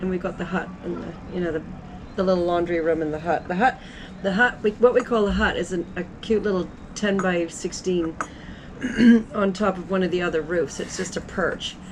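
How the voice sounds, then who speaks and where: Amid noticeable background noise, a woman at medium pitch talks at a fairly quick pace with fairly even intonation. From Antigua. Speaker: innkeeper. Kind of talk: interview answer. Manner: casual, chatty.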